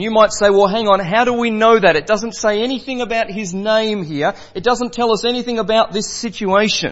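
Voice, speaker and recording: Loud and high-pitched, a man speaks at a fairly quick pace with fairly even intonation and hardly any pauses. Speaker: preacher. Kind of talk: sermon. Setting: church.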